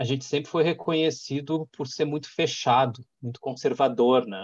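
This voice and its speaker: A man uses a normal speaking voice at a moderate pace with ordinary pitch variation. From Porto Alegre, southern Brazil. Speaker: executive director of an innovation hub. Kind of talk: interview, casual business talk.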